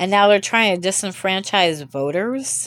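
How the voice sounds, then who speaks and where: A woman's medium-pitched voice shows ordinary pitch variation and a moderate pace. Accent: American. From US. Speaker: podcast host. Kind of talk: solo monologue. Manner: halting.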